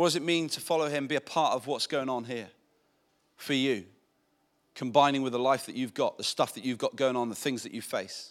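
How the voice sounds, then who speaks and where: A man's fairly high-pitched, ordinary speaking voice at a fairly quick pace, with ordinary pitch variation, on a very clean recording against a silent background. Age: 40s. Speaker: pastor. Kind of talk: sermon.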